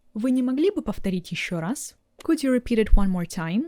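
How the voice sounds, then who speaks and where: A woman with a Russian accent, somewhat breathy and dark, mellow in tone, with very wide pitch swings, in a very clean recording with a silent background. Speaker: language teacher. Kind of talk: tutorial. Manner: clear, deliberate.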